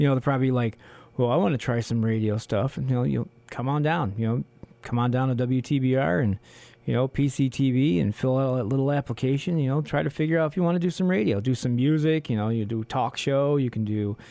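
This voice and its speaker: Speaking at a very fast pace, a man keeps a dark, mellow tone and very even loudness. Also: medium pitch for a man, ordinary pitch variation. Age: adult. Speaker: community radio host. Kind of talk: casual radio talk. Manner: rambling, halting.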